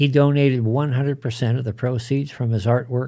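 Recorded very cleanly with a silent background, a man with a medium pitch and a dark, mellow tone sounds somewhat breathy, his intonation fairly even. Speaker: podcast host. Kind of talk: eulogy tribute, solemn scripted narration. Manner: formal, reverent.

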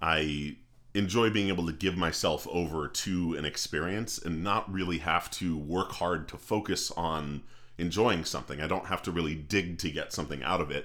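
Here a man talks at a moderate pace. His pitch is very deep and low, with fairly even intonation. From New England. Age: 30s. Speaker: podcast co-host. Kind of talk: casual chat.

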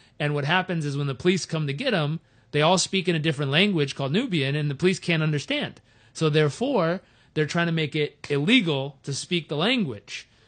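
An unremarkable speaking voice from a man, fairly high in pitch and fairly quick, with ordinary pitch variation against a quiet background. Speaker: speaker and show host. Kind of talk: interview.

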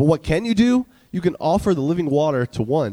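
This man has a dark, mellow tone and an American accent. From New York. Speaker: youth pastor preaching. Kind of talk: sermon. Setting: church.

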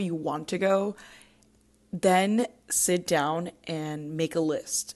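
A woman with a Puerto Rican accent, ordinary pitch variation and a quiet background. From Puerto Rico. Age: 20s. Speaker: podcast host. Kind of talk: casual monologue.

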